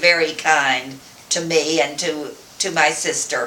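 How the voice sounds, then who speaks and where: Over noticeable background noise and audible room echo, a woman with a fairly low pitch speaks very slowly with an American accent. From West Texas. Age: 80s+. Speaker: grandmother interviewed by family. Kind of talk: family oral-history interview. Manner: halting, with repetitions and fillers.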